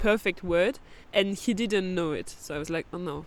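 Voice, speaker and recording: Speaking at a fairly quick pace with a French accent, a woman uses medium pitch and ordinary pitch variation. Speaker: podcast host. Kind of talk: casual chat. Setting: outdoors in a forest campground.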